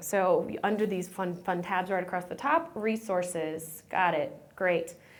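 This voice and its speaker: Her voice has an animated tone. The woman is heard with audible room echo. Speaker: nutrition program manager presenting. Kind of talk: conference presentation. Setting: conference room with audience. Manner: fast.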